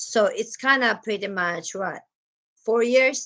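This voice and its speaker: With a strong Filipino accent, a woman speaks very slowly at a fairly high pitch with ordinary pitch variation. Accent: thick Filipino (Cebuano). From Philippines, Cebu (Cebuano/Bisaya). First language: Cebuano. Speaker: nurse and vlogger. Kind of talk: casual vlog chat. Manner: chatty, animated.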